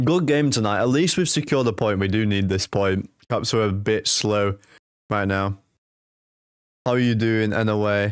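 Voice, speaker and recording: A man with a Manchester accent talks at a moderate pace with a fairly low pitch, ordinary pitch variation and very even loudness. He leaves long, frequent pauses, and the recording is very clean with a silent background. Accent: Manchester English, noticeable. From England, Manchester. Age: 20s. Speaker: hockey live-stream commentator. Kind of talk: live commentary; casual chat with viewers. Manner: casual, conversational.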